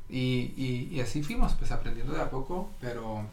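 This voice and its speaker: Room echo is audible as a man speaks with ordinary pitch variation. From Norway. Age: 30s. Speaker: digital marketing specialist. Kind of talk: casual interview.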